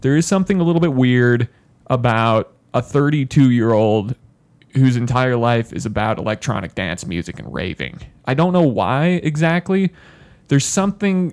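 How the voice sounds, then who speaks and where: In a dry, close sound with no echo, a man speaks with very wide pitch swings. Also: medium pitch for a man, moderate pace. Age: 20s. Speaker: podcast host. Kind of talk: casual comedic chat. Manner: animated.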